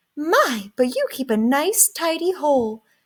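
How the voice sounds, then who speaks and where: A squeaky, high-pitched put-on character voice from a woman, fairly slow, with very wide pitch swings. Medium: read story.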